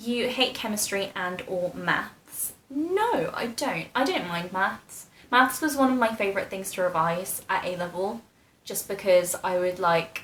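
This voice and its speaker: A woman with a British accent, medium-pitched, with lively intonation, at a fairly slow pace, over noticeable background noise. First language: Polish. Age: 20s. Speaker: YouTuber, medical student. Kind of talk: casual Q&A vlog.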